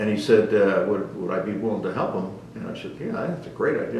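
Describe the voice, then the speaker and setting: Over noticeable background noise and audible room echo, a man speaks. His pace is very fast. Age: 80s+. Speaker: retired navy captain. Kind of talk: oral history interview. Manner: hesitant, many filler words.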